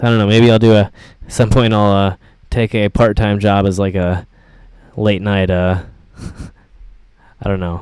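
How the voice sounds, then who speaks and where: At a moderate pace, a man with an American accent speaks in a fairly low pitch. His intonation is monotone and flat, with long, frequent pauses. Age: 30s. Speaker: YouTuber. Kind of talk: live stream chat. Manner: halting.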